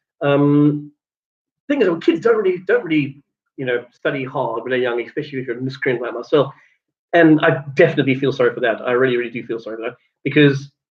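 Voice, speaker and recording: Very fast speech from a man with a South African accent, at a medium pitch. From South Africa, Cape Town. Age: 30s. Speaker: vlogger. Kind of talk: casual vlog monologue. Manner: hesitant, many fillers.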